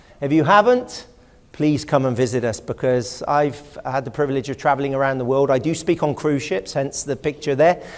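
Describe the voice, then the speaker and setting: Speaking with an English accent, a man talks at a fairly quick pace in a fairly high voice with ordinary pitch variation. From England, West Country (Exmoor). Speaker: historian and lecturer. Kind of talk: public lecture. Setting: auditorium with audience.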